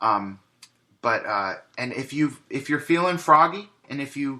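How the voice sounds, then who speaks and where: The speaker is a man with a medium pitch. His tone is bright and sharp. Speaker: podcast host. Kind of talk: solo podcast monologue. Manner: many filler words.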